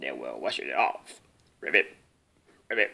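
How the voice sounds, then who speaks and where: A man puts on a croaky character voice. He talks at a moderate pace. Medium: read story.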